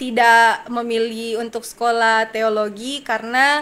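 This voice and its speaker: A woman with a slight Manado accent, very slow pace and bright, sharp tone. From Tentena, Central Sulawesi, Indonesia. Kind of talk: testimony interview.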